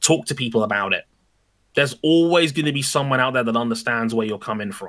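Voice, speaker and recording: A bright, sharp tone with fairly even intonation in a very clean recording with a silent background. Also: man. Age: 30s. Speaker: motorsport media presenter. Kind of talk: interview. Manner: some pronunciation difficulty.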